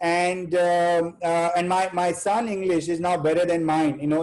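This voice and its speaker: A man with a high pitch, fairly even intonation and a moderate pace. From India, Bihar. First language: Hindi. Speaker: chartered accountant, webinar speaker. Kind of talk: webinar talk. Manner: halting, many fillers.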